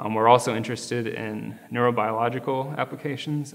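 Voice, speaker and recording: A man speaks at a moderate pace with fairly even intonation and a medium pitch. Noticeable background noise runs behind him. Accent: American. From US Midwest, Chicago. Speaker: physics graduate student. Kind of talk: interview. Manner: hesitant, many fillers.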